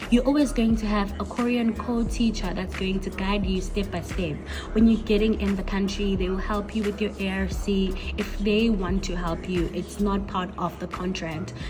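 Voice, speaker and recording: Music plays in the background as someone speaks at a moderate pace, with audible echo in the room. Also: woman. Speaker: English teacher and vlogger. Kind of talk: casual vlog talk.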